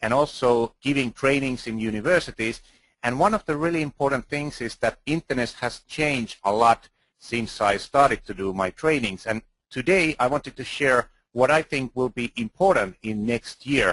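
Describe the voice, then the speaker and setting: In a Finnish accent, a man speaks at a moderate pace and medium pitch with ordinary pitch variation, the sound dry and close with no echo. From Finland. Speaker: video marketing expert speaker. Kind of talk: conference talk. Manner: halting.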